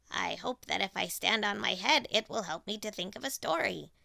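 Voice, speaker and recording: A woman puts on a raspy character voice at medium pitch. She talks at a moderate pace. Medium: read story.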